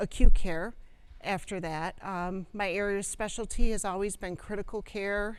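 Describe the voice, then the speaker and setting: With an American accent and fairly even intonation, a woman speaks in a room with audible echo. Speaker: clinical ethicist and former nurse practitioner. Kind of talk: lecture. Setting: presentation room with live audience. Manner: loud.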